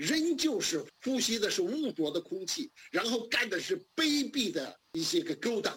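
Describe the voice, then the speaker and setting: A man speaks here. His pitch swings very widely. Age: 60s. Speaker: democracy activist. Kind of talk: interview.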